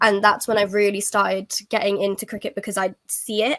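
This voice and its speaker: A woman with an English Midlands accent, fairly high pitch and moderate pace, in a dry, close sound with no echo on a very clean recording with a silent background. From England, Nottingham. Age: 20s. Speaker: cricket ambassador, university student. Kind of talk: podcast interview. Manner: hesitant, many fillers.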